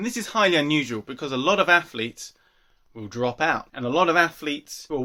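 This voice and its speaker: A man with a British accent speaks in a fairly high pitch with a bright, sharp tone and lively intonation. The recording is very clean, with a silent background. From UK. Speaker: athletics commentator, video host. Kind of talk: solo talk-to-camera commentary.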